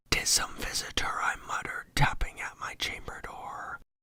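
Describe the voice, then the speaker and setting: Someone is whispering. The pace is fairly slow. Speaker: ASMR storyteller. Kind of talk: poetry reading. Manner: whispered.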